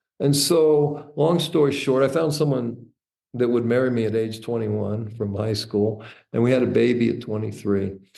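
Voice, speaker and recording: Dark and mellow in tone, a man's medium-pitched voice moves at a moderate pace with audible room echo. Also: ordinary pitch variation. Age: 60s. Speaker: entrepreneur and author. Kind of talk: interview storytelling.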